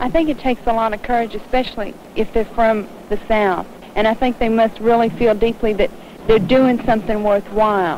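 A fairly high-pitched woman's voice at a fairly quick pace, fairly even in intonation, dry with no echo, over light background noise. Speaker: student civil rights activist; interviewee. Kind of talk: interview. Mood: thoughtful, earnest. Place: street. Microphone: old recording.

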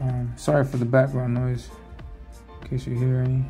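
A man speaks at a moderate pace. Music plays clearly behind him. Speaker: comic artist. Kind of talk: casual tutorial commentary.

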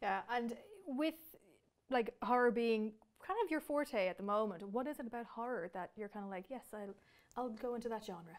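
A woman with an Irish accent and a fairly high pitch speaks at a moderate pace, with ordinary pitch variation and long, frequent pauses. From Ireland. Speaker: entertainment editor and interviewer. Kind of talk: interview. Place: studio.

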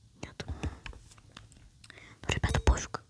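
Whispering comes through over noticeable background noise. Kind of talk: casual gaming commentary.

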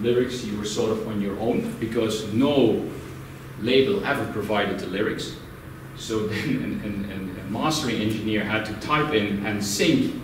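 The clip has noticeable background noise along with audible room echo. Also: man, fairly low pitch for a man, ordinary pitch variation, moderate pace. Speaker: presenter. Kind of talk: presentation talk. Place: meeting room. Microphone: camera far.

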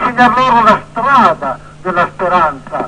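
A man's raised, projected voice at an extremely high pitch, fairly slow in pace, over noticeable background noise. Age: 80s+. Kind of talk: interview answer. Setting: phone line.

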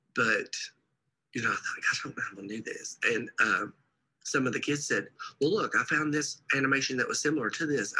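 A man is speaking here. His pace is moderate. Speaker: reading teacher. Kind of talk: interview answer. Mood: warm, amused. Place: hall.

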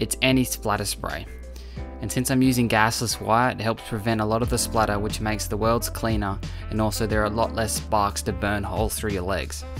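The speech moves at a fairly quick pace over music in the background. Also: man. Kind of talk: tutorial voice-over narration.

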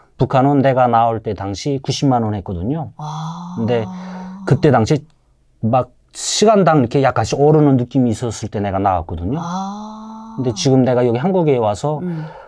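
A man with a slight North Korean accent speaks at a moderate pace in a dark, mellow tone with very wide pitch swings over light background noise. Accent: mild North Korean (Hwanghae). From North Korea, Haeju, Hwanghae; Hwanghae, North Korea. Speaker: North Korean defector, former fisherman; interview guest. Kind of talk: casual interview; interview answer. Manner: halting, many fillers. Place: studio. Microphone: lapel.

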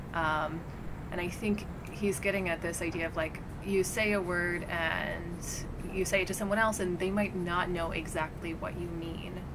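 Over noticeable background noise, a woman talks at a moderate pace. Her fairly low voice stays monotone, with flat intonation. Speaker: poet. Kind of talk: interview answer. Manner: casual, hesitant. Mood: thoughtful, reflective. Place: garden.

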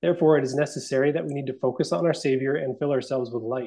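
Speaking at a very fast pace, a man has a dark, mellow tone and ordinary pitch variation against a quiet background. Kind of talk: casual chat. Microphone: earbuds.

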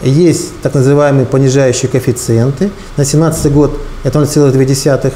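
Over light background noise, a man talks in a flat monotone at a very even loudness. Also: fairly high pitch for a man, fairly slow pace. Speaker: tax official. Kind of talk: interview. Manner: halting, formal. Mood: calm, official, explanatory. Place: office.

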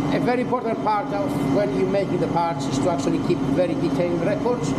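The speaker is a man. Background noise is loud throughout. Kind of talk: guided tour explanation. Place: workshop. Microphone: phone near.

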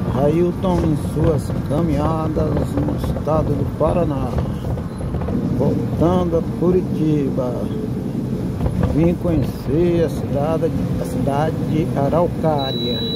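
Speech comes at a very slow pace with long, frequent pauses, in a dry sound with no echo and loud background noise. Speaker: travel vlogger. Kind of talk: casual vlog chat. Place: bus. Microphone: phone near.

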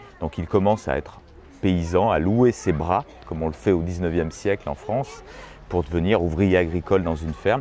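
At a moderate pace, a man with a very deep, low pitch speaks with ordinary pitch variation over noticeable background noise. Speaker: expert on the folk-art palace's history. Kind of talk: storytelling explanation.

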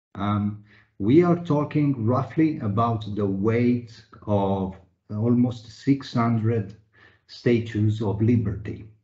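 A somewhat breathy man speaking at a very slow pace over a quiet background. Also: ordinary pitch variation. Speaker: webinar moderator, internal audit executive. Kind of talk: moderated panel discussion. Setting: video call webinar. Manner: formal, uses many fillers. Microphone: video call.

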